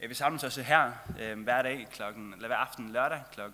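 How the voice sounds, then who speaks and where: A man's medium-pitched voice with a bright, sharp tone, at a fairly slow pace, with audible room echo. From Faroe Islands. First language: Faroese (speaking Danish). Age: 20s. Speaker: travelling lay preacher. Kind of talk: sermon.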